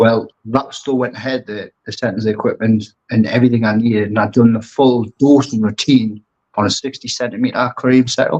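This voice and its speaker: A man's medium-pitched voice, fairly quick and fairly even, with hardly any pauses. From northeast England, Newcastle. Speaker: aquascaper and brand ambassador. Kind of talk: casual interview chat.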